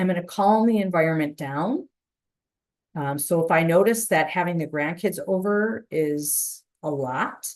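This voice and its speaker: At a fairly slow pace, this is an ordinary speaking voice with an American accent. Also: woman, fairly low pitch for a woman, ordinary pitch variation. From Chicago. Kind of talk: webinar presentation. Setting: online webinar.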